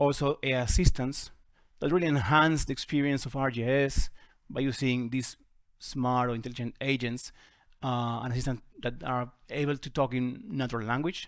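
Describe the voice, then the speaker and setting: Recorded very cleanly against a silent background, a man with an Argentine accent speaks at a moderate pace with fairly even intonation. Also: medium pitch for a man. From Argentina. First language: Spanish. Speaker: GIS software presenter. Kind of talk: conference talk. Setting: conference workshop with audience.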